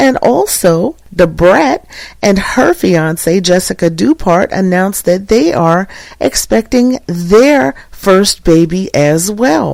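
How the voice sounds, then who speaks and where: A woman speaks at a very slow pace in a medium-pitched voice with a warm, upbeat tone. Her intonation is lively, and her loudness stays very even. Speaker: podcast host and spoken word poet. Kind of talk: podcast host talk.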